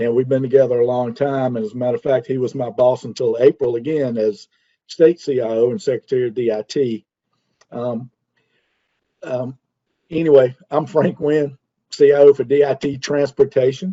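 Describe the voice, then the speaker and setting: This is a man speaking at a medium pitch. His pitch variation is ordinary. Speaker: government IT executive. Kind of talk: conference presentation. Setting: video call. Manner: fast.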